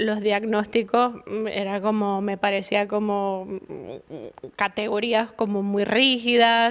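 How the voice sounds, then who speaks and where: Speaking at a very slow pace with hardly any pauses, a woman with a Venezuelan accent keeps a fairly even intonation. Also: medium pitch for a woman. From Venezuela, Caracas. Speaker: psychologist. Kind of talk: podcast interview.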